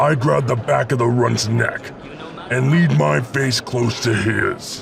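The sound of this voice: A man talks at a moderate pace in a put-on character voice, with clear background noise behind him. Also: medium pitch for a man.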